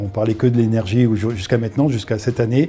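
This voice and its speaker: Music plays in the background as a man talks at a fairly quick pace. His medium-pitched voice is monotone and flat. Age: 60s. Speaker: company co-founder. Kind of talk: casual interview. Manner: hesitant, many fillers.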